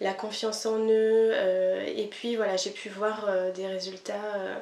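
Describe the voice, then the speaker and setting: With noticeable background noise and audible room echo, a woman at medium pitch talks at a very slow pace in a monotone, flat intonation. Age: 30s. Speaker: kinesiology practitioner. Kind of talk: interview. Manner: hesitant, many fillers.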